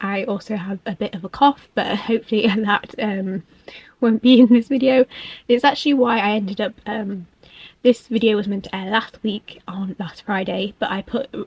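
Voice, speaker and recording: A woman with a fairly high, somewhat breathy voice speaks at a moderate pace with fairly even intonation and big swings in loudness, the sound dry and close with no echo. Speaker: book vlogger and author. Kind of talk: scripted voiceover. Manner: hesitant, many fillers.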